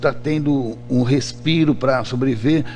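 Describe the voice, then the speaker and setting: A man at a very slow pace with fairly even intonation, audible room echo, and music in the background. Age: 60s. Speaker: trade union president. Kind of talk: radio interview. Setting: radio studio. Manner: halting, many repetitions.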